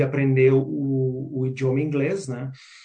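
A somewhat breathy man's voice, fairly high in pitch yet dark and mellow in tone, at a fairly slow pace with audible room echo. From southern Brazil, Porto Alegre. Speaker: career and business coach. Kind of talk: interview. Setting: community radio. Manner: halting, many fillers.

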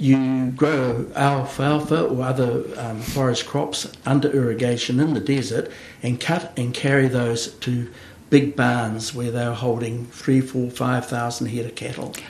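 Spoken at a fairly slow pace with fairly even intonation in a New Zealand accent, the clip has audible room echo and noticeable background noise. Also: man, medium pitch for a man. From New Zealand, Hawke's Bay. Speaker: agribusiness consultant. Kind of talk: interview. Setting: studio. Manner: halting, many fillers.

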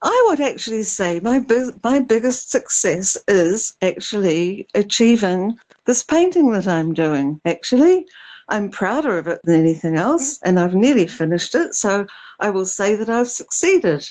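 A woman with a New Zealand accent, dark, mellow tone and fairly high pitch, with very wide pitch swings at a moderate pace. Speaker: artist and painter. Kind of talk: casual chat. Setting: remote call.

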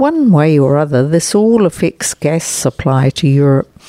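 With a New Zealand accent, a woman speaks at a fairly slow pace in a very deep, low pitch with ordinary variation. Her tone is dark and mellow, and the recording is dry and close with no echo. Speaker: overseas correspondent. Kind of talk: scripted report.

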